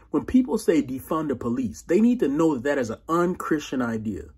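With big pitch swings, a man's voice carries a husky, rough edge and a slightly mellow tone.

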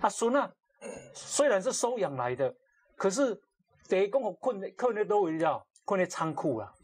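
Long, frequent pauses break up speech that swings very widely in pitch. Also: man, high pitch for a man, moderate pace. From Taiwan. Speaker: talk show host. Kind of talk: casual chat. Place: studio. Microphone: lapel.

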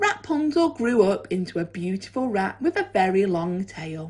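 Over a quiet background, a woman speaks at a fairly slow pace with an animated tone, very wide pitch swings and a somewhat breathy sound. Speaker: primary school teacher. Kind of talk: children's story reading aloud, bedtime-style storytelling. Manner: animated, expressive, changing tone for the cat and characters' dialogue; gentle, measured storyteller pacing. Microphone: phone near.

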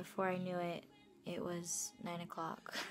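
There is noticeable background noise as a woman speaks at a fairly slow pace. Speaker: student vlogger. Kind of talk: casual vlog chat. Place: home room. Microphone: phone near.

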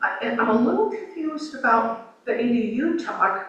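Someone with an American accent talks with very wide pitch swings, with audible room echo and noticeable background noise in the recording. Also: woman. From US West Coast, Oregon. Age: 70s. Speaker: local resident giving public comment. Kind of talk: public comment at a city meeting. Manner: halting.

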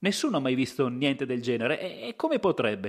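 This is an unremarkable speaking voice, captured on a very clean recording with a silent background. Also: man. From Italy, Verona province (Lessinia). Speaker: podcast host and storyteller. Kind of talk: scripted narration.

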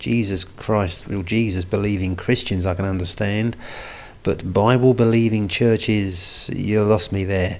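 A man's fairly low-pitched voice at a slow pace.

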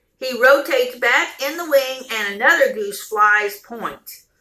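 At a very slow pace, a woman speaks in a raised, projected voice with lively intonation against a quiet background. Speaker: vlogger. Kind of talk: reading a story aloud. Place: home room. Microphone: phone near.

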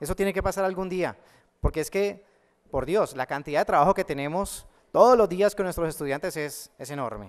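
A man speaks with a Cali Colombian accent and a high pitch. The background is quiet. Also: ordinary pitch variation, fairly quick pace. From Colombia, Cali. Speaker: math teacher and online educator; math teacher, online educator. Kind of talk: conference talk. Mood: warm, humorous. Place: hall. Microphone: podium.

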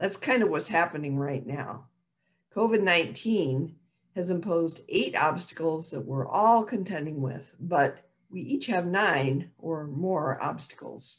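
The voice is somewhat breathy and unhurried at a fairly slow pace, set against a quiet background. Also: woman, fairly low pitch for a woman. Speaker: minister. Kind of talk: sermon. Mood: calm, compassionate. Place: home room. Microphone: video call.

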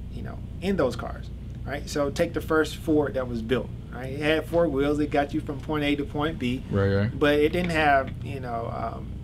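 A man speaks at a moderate pace with ordinary pitch variation. Noticeable background noise is present. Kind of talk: interview answer. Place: office. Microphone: camera far.

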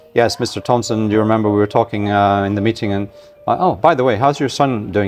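With a Scottish accent, a man talks at a very fast pace in a fairly low pitch with ordinary pitch variation, against noticeable background noise. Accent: mild Scottish. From Scotland. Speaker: magazine publisher. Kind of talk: interview.

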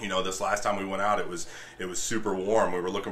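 Light background noise sits under a man with fairly low pitch talking at a very fast pace. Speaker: guest. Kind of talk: interview answer. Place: home room. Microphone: studio mic.

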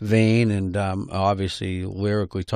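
Against a quiet background, a man talks in a fairly low pitch. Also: dry sound with no echo. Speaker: guest. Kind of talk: interview answer. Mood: relaxed, friendly. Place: studio. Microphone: studio mic.

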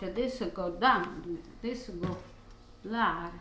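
A woman with a fairly low pitch and a bright, sharp tone speaks at a slow pace amid strong room echo. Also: ordinary pitch variation.

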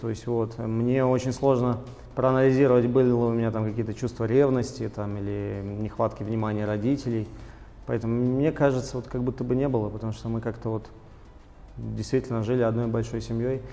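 Monotone, flat intonation at a fairly quick pace. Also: man. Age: 20s. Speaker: businessman; guest. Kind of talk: interview. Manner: hesitant with fillers. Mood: calm, reflective. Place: studio. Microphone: lapel.

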